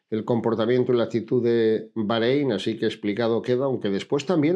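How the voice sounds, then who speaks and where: Here a man talks at a fairly quick pace and a medium pitch. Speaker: cycling commentator. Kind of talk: video commentary. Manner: fast.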